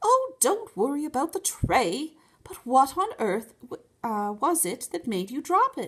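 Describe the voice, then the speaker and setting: A woman puts on a character voice, raised and projected, high in pitch and swinging very widely. She speaks at a fairly slow pace. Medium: read story. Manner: refined, proper.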